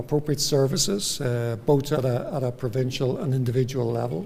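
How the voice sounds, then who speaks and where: In a Northern Irish accent, the speaker has a dark, mellow tone, somewhat breathy delivery, ordinary pitch variation and a moderate pace, with audible room echo. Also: man. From Northern Ireland. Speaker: psychiatrist. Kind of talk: lecture. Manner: halting.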